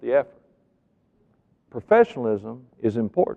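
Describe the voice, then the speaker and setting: A man speaks at a medium pitch. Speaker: professional keynote speaker. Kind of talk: motivational keynote speech to an audience.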